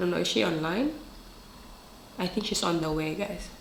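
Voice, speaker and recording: A woman talks at a fairly low pitch with ordinary pitch variation. The recording carries audible room echo and noticeable background noise. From Philippines. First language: Filipino dialect. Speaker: vlogger. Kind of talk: casual vlog talk. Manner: talkative.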